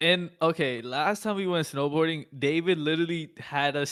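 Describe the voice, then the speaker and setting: At a moderate pace, the speaker talks with an American accent. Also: man. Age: 20s. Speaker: day trader and streamer. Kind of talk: casual chat.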